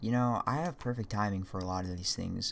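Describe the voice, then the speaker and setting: The speech moves at a moderate pace. Its pitch shows ordinary variation. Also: man. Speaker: 3D modeling tutorial creator. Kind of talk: casual tutorial with commentary. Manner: casual, rambling asides.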